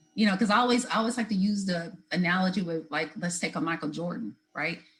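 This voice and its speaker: Somewhat breathy, a woman talks at a fairly quick pace. Her pitch sits in the medium range. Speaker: motivational speaker. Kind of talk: interview conversation.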